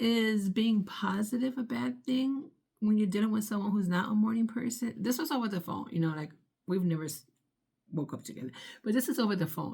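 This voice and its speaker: A woman's dark, mellow tone at a fairly quick pace, with lively intonation. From Puerto Rican heritage. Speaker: vlogger. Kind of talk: casual vlog monologue. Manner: loud, upbeat; animated.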